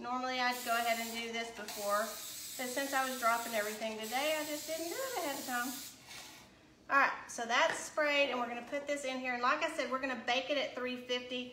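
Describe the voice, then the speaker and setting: The speech moves at a fairly quick pace with fairly even intonation, noticeable background noise and audible room echo. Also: woman, high pitch for a woman. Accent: strong Tennessee. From US South, Chattanooga, Tennessee. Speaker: cooking livestream host. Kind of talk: live cooking stream chat. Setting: home kitchen livestream.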